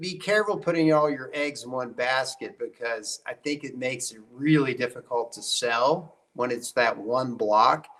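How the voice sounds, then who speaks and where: With an American accent, a man speaks at a fairly slow pace. His is an unremarkable speaking voice, fairly high in pitch. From West Virginia. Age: 50s. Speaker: trial attorney and hunter. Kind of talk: podcast interview.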